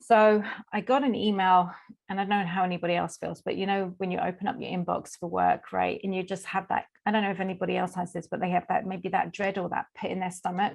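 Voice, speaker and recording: A woman speaks at a fairly quick pace with vocal fry, her pitch in the medium range. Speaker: life coach. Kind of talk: interview. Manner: energetic.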